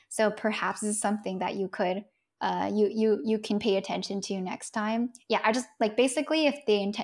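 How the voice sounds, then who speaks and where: A woman at a fairly high pitch talks at a moderate pace in a plain, everyday voice. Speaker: product manager and content creator. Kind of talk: casual interview. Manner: casual, filler-heavy.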